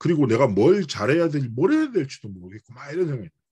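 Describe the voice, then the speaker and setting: Somewhat breathy and fairly high-pitched, a man with a strong Busan accent speaks at a fairly quick pace. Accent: Busan dialect, strong (by his own account). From South Korea, Busan. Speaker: pastor. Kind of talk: sermon. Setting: church cell-group worship.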